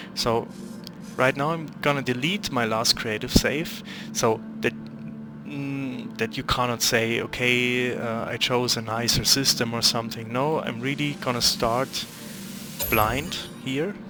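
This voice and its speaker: A man at a medium pitch, talking at a fairly slow pace with lively intonation and long, frequent pauses over music in the background. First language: not English. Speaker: gaming youtuber. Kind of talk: gameplay commentary. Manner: halting, searching for words; casual, unscripted. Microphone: poor quality microphone.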